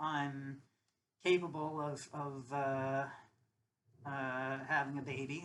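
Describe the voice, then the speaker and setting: The speaker is a woman with a very deep, low pitch. She talks at a fairly slow pace. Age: 30s. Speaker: vlogger. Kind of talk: personal monologue. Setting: alone at home. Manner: halting, many fillers and repeats.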